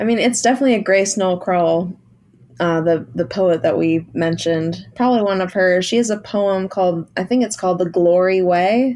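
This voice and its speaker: A woman's medium-pitched voice with a dark, mellow tone, an American accent, moderate pace and ordinary pitch variation. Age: 30s. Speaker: musician. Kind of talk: casual interview chat.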